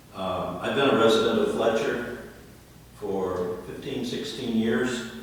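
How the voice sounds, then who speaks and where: A man with an American accent speaks fairly slowly at a fairly low pitch. Audible room echo and noticeable background noise surround him. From Ohio. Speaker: new planning board member, retired veteran. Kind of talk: self-introduction at public meeting. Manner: formal.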